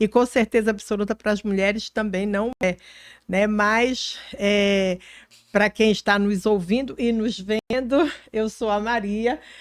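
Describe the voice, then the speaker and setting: At a very slow pace, a woman speaks with fairly high pitch and fairly even intonation in a dry, close sound with no echo. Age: 60s. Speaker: politician. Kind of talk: podcast interview.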